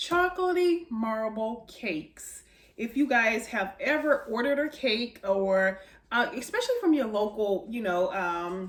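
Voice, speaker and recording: This woman's fairly high voice moves in very wide pitch swings. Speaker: home baking video host. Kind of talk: cooking tutorial. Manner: fast; casual, filler-heavy.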